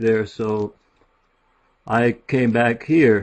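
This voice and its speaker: The speaker is a man with a Midwestern accent. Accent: American Midwest. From US Midwest (Warren, Ohio). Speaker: author and journalist. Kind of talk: self-introduction. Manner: soft-spoken.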